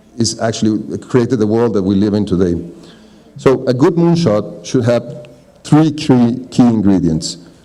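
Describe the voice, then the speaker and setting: A man talks at a medium pitch with a Spanish accent. There is noticeable background noise. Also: lively intonation, moderate pace. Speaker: architect and landscape designer. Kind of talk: reading aloud a prepared talk. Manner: formal.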